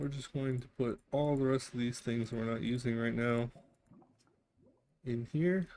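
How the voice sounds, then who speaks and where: A quiet man at medium pitch, fairly slow, with long, frequent pauses. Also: ordinary pitch variation. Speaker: vtuber gamer. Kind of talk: let's play commentary. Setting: home, window open.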